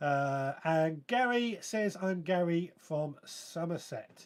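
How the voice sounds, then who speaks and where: With a southern English accent, a man speaks at a high pitch with lively intonation. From southern England (West Sussex). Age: 40s. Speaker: gardening podcast host. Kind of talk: live stream chat reading viewer comments.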